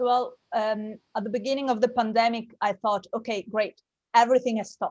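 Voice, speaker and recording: Speaking with an Italian accent, a woman talks at a fairly quick pace in a fairly high pitch with fairly even intonation, the sound dry and close with no echo. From Italy. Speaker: actress and producer. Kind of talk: interview.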